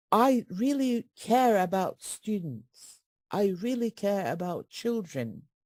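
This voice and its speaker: Speaking at a very slow pace with lively intonation, a woman with a Turkish accent uses a medium pitch. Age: 60s. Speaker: retired English teaching professor. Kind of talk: webinar Q&A answer. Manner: animated.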